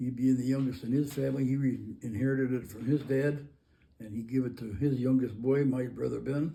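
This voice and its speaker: A man's medium-pitched, somewhat breathy voice with a dark, mellow tone and an American accent, monotone and flat, at a fairly quick pace with audible room echo. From Michigan, Bay County, rural. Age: 80s+. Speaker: army veteran. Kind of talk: oral history interview. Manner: halting.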